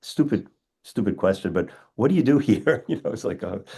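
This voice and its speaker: With an American accent, a man talks at a fairly quick pace in a fairly high voice, with vocal fry and very wide pitch swings. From US Northeast (Long Island, New York). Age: 60s. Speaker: dentist and educator. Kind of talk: interview conversation. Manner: halting, repetitive starts.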